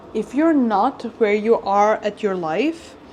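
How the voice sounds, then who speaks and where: A woman's voice over noticeable background noise. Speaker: lifestyle vlogger. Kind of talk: casual vlog chat. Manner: animated.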